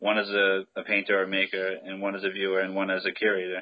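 Fairly quick delivery from a man with a fairly low pitch. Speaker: podcast host. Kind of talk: interview.

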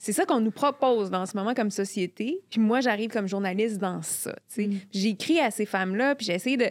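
A woman's normal speaking voice, fairly high in pitch, with ordinary pitch variation and a fairly quick pace. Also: very clean recording, silent background. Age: 40s. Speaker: journalist and columnist. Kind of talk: casual chat.

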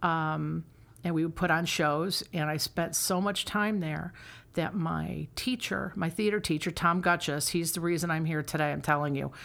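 On a very clean recording with a silent background, a woman with an American accent talks at a moderate pace in an unremarkable speaking voice, fairly low-pitched and fairly even in intonation. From upstate New York. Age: 50s. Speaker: theater director and actress. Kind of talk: casual interview.

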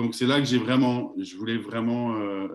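At a fairly slow pace, a man talks in a normal speaking voice with a medium pitch. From France. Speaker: network marketing entrepreneur. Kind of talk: casual interview.

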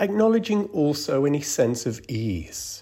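A man speaks at a fairly slow pace with a fairly high pitch and very wide pitch swings. His tone is dark, mellow, calm and soothing, and somewhat breathy. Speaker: meditation guide. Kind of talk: guided meditation. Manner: slow, calm and soothing, with long pauses; gentle, soft-spoken.

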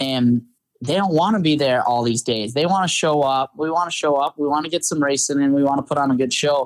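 This man uses a normal speaking voice with a fairly high pitch and ordinary pitch variation, talking at a fairly quick pace with very even loudness. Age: 20s. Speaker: off-road racing driver. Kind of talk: casual interview chat.

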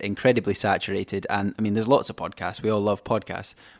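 A man with a Scottish accent speaks at a fairly low pitch on a very clean recording with a silent background. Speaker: podcast host. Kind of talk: casual interview chat.

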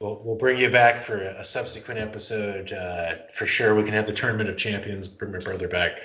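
A man with an unremarkable speaking voice talks at a fairly low pitch with hardly any pauses. His intonation is fairly even. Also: fairly quick pace. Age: 30s. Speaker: podcast co-host. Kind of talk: casual chat. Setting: remote call.

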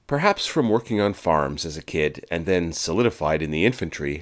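On a very clean recording with a silent background, a man with an American accent and a very deep, low pitch talks at a moderate pace with ordinary pitch variation. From Quebec, Canada. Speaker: podcast host. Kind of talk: scripted narration.

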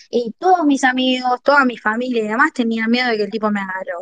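A woman speaks at a very fast pace with a fairly high pitch, her voice dry and close with no echo. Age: 20s. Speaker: political activist. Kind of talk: testimony.

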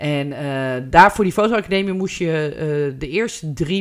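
A woman's very deep, low voice, fairly slow and with ordinary pitch variation, on a very clean recording with a silent background. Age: 50s. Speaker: photographer. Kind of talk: casual chat.

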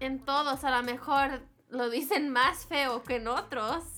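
Using a raised, projected voice, a woman speaks at a very slow pace with high pitch, ordinary pitch variation and a bright, sharp tone. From Houston, Texas. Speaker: reggaeton artist. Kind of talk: casual chat.

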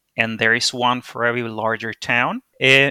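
A man with a Spanish accent speaks at a medium pitch and moderate pace, his bright, sharp tone flat and monotone in a dry, close sound with no echo. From Venezuela. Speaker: interview guest. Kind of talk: casual interview chat. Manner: hesitant, with fillers.

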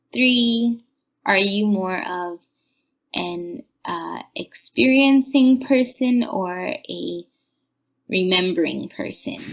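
A woman talks at a very slow pace, leaving long, frequent pauses. Her intonation is lively. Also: medium pitch for a woman. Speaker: listener sending in recorded questions. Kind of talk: recorded voice message with questions. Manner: hesitant, many fillers.

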